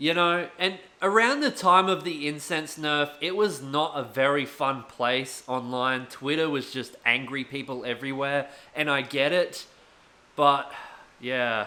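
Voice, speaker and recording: A man with an Australian accent talks at a fairly slow pace, his pitch fairly high with ordinary variation. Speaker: gaming YouTuber and streamer. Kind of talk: rant video. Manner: loud, shouting.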